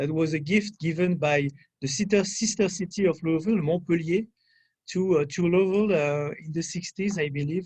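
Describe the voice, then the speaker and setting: A man with a French accent speaks at a high pitch and moderate pace, with ordinary pitch variation. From France, rural area. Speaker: French consular official. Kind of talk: guest talk at a public affairs event. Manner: halting, many fillers.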